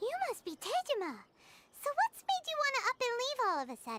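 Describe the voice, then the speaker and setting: A squeaky, put-on character voice sits at an extremely high pitch. It moves at a fairly quick pace with very wide pitch swings. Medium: video game. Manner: casual, upbeat.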